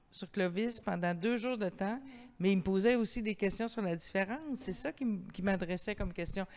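A woman talks with ordinary pitch variation over light background noise. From Quebec. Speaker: event host and interviewer; event host, interviewer. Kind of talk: public author interview. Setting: library terrace, livestreamed event. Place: hall. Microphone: handheld.

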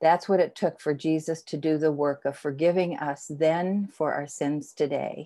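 Against a quiet background, a woman speaks at a fairly slow pace. Her voice is fairly low, with a dark, mellow tone. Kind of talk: prayer and call to confession. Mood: calm, reverent. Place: home room. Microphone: earbuds.

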